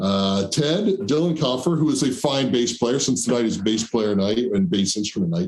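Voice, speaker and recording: A man with a New Jersey accent speaks at a moderate pace and medium pitch, his pitch swinging very widely while his loudness stays very even and he hardly pauses at all. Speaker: show host and musician. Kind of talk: casual chat. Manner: mumbly.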